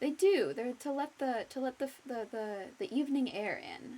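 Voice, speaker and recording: Her voice is high in pitch yet dark and mellow in tone as the woman speaks at a fairly slow pace. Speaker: streamer. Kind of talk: live gameplay stream chat. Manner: halting, many self-corrections.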